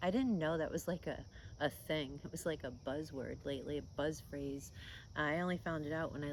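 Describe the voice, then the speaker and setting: The speech moves at a moderate pace. Vocal fry runs through the voice. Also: woman. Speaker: vlogger, older YouTuber. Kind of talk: casual vlog talk to camera, gentle and reflective.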